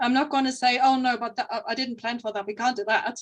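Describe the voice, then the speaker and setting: Her pitch sits fairly high, and she has a non-native accent. The woman's delivery is monotone, with flat intonation. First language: not English. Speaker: fantasy author. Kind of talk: podcast interview. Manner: halting.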